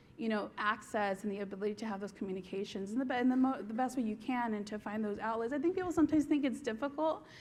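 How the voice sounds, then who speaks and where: With an American accent, a woman talks at a very fast pace with hardly any pauses. Her fairly high voice is somewhat breathy, with ordinary pitch variation. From Southern California, Norwalk near LA. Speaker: TV series creator and writer. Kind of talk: conference stage interview. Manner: animated.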